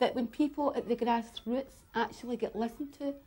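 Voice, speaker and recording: Someone with a Scottish accent talks at a fairly quick pace, keeping the intonation fairly even. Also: woman. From Glasgow, Scotland. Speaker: community anti-poverty activist. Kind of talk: documentary narration.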